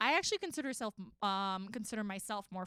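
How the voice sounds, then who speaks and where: A woman with a New York accent speaks at a moderate pace and medium pitch in a dry, close sound with no echo. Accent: New York American. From Queens, New York. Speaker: podcast guest. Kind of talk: casual chat.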